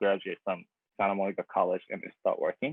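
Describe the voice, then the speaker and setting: The speaker moves at a fairly quick pace with a Japanese accent. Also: man. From Japan (Tokyo). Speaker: graphic designer. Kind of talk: presentation talk. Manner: halting, many fillers.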